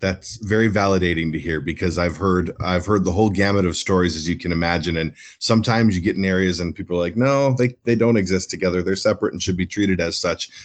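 With an Upper Midwest accent, a man with a very deep, low pitch talks at a very fast pace with hardly any pauses and ordinary pitch variation, over a quiet background. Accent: Upper Midwest American. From Minnesota, Minneapolis. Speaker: person in long-term recovery, nonprofit executive. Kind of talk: interview.

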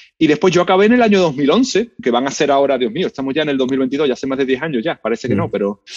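Lively intonation and a fairly high pitch mark this man's voice. He talks at a very fast pace, with hardly any pauses. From Spain, Seville. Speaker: history professor. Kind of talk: interview.

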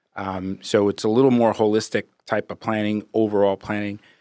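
Recorded very cleanly with a silent background, a man with a New York accent speaks in a fairly low pitch at a moderate pace. The sound is dry and close, without echo. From New York (Brooklyn and Long Island). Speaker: financial planner. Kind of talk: casual interview.

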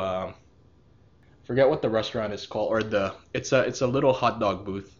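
A man's voice at a medium pitch. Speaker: podcast co-host. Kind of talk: casual chat. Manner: casual, profane, animated.

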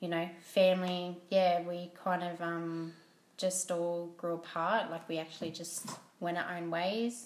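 A woman talks very slowly in an Australian accent, her intonation flat and monotone. The room echo is audible. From Australia, Port Macquarie, New South Wales. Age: 30s. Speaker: podcast guest, host's wife. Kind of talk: casual chat. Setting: at home.

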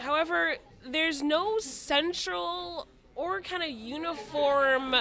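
A woman with an American accent is heard over crowd noise in the background, with audible room echo. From Connecticut, East Hartford. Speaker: DJ and events organizer. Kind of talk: casual chat.

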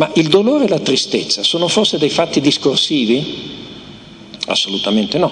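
A man with a fairly high pitch speaks at a moderate pace, his loudness very even yet his pitch swinging very widely. Long, frequent pauses break up his speech over noticeable background noise. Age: old. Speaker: philosopher. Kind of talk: lecture.

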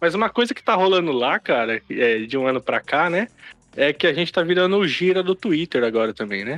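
A high-pitched man at a fairly quick pace, pitch swinging very widely, dry and close with no echo, quiet background. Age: 30s. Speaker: podcast host. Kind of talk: casual chat. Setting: online group call.

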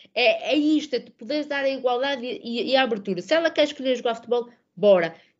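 A woman's high-pitched voice at a very fast pace. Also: lively intonation. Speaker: women's football social media professional and podcaster. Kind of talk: casual chat.

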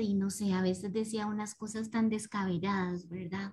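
A woman talks at a fairly slow pace in a calm tone. Her voice is somewhat breathy. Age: 30s. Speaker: participant. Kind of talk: casual chat. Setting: video call.

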